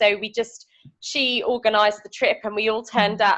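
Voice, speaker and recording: A woman at a moderate pace with a British accent. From United Kingdom. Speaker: veterinarian. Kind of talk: interview answer. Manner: hesitant, casual.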